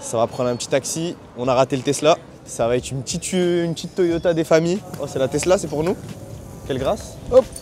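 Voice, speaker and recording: Over noticeable background noise, a man talks at a very fast pace with lively intonation. He leaves long, frequent pauses. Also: fairly high pitch for a man. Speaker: sneaker and basketball vlogger. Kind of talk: travel vlog. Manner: animated.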